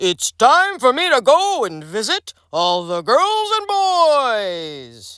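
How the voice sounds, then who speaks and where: A put-on character voice, high-pitched and warm in tone, moves at a very slow pace with very wide pitch swings and hardly any pauses. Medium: read story. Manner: jolly, warm.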